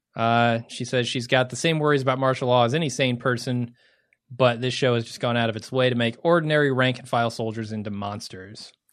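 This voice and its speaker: A man speaks fairly quickly in an unremarkable speaking voice at a medium pitch with fairly even intonation. His loudness swings widely against a quiet background. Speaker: podcast host. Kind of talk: casual banter, co-hosted podcast.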